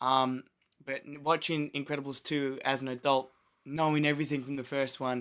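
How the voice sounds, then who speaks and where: A man talks at a fairly quick pace with a medium pitch. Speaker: movie reviewer. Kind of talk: casual chat.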